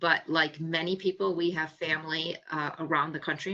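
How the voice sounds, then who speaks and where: This woman has an American accent and a fairly low pitch. Her intonation stays flat and monotone. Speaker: psychologist. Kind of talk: webinar presentation. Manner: fast.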